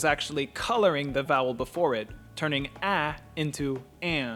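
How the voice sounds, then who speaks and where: With music in the background, a man talks at a fairly high pitch with ordinary pitch variation. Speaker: language learner and pronunciation tutor. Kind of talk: educational narration.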